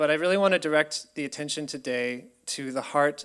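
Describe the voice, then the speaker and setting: With an American accent, a man talks at a moderate pace and a fairly high pitch, his intonation fairly even. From US, Colorado. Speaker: researcher. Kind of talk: presentation. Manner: hesitant with many fillers.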